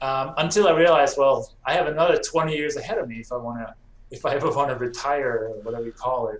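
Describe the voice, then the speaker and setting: With a non-native accent, a man talks at a very fast pace in a fairly high pitch, using ordinary pitch variation. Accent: foreign. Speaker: real estate investor. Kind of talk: podcast interview.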